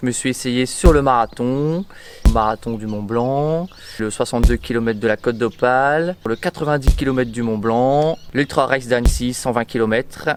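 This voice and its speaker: With a normal amount of pitch movement, a man speaks in a medium register. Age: 30s. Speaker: nurse and amateur ultra-trail runner. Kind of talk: interview. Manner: hesitant, many fillers.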